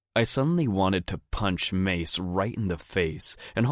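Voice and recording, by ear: A person reading aloud in a natural voice keeps the intonation lively.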